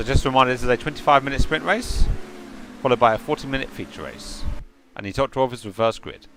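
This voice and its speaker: A man speaks at a very fast pace, his loudness swinging widely. His pitch is medium with ordinary variation, and noticeable background noise is present. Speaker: sim racing commentator. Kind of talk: live commentary. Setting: live stream broadcast. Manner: fast when excited; stuttering, repeated words.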